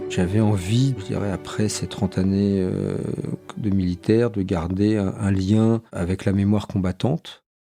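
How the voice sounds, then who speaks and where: A fairly low male voice at a moderate pace with ordinary pitch variation, and music in the background. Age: 60s. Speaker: former army officer, association president. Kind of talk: interview testimony. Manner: hesitant, many fillers.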